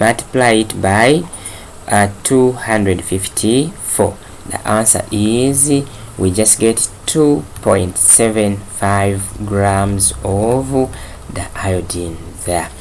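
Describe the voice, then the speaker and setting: The pace is very slow. Noticeable background noise can be heard. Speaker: chemistry teacher. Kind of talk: lecture. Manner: hesitant, many fillers.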